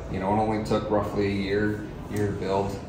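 A man speaks with a fairly low pitch. Light background noise and audible room echo can be heard. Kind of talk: interview answer. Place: meeting room.

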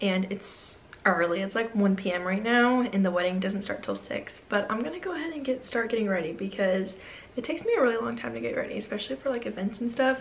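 Speech moves at a fast pace with lively intonation. Room echo is audible. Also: woman, medium pitch for a woman.

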